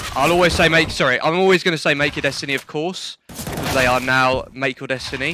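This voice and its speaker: The speaker has a British accent and ordinary pitch variation. The pace is moderate. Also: man. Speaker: esports caster. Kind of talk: live commentary. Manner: casual, chatty.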